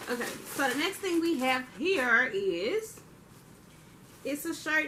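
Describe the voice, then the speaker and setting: A woman speaks very slowly in a raised, projected voice. Her tone is bright and sharp. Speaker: youtuber. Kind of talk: haul video monologue. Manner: animated.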